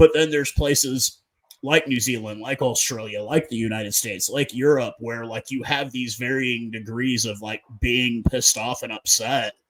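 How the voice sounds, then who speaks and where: A man with an American accent talks at a moderate pace in a medium pitch, with fairly even intonation and an unremarkable speaking voice. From North America. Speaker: podcast host. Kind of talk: casual chat.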